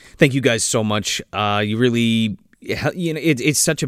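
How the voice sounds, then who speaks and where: At a fairly quick pace, a man with medium pitch and an unremarkable speaking voice is heard in a very clean recording with a silent background. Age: 30s. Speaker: movie podcast host. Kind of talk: casual chat.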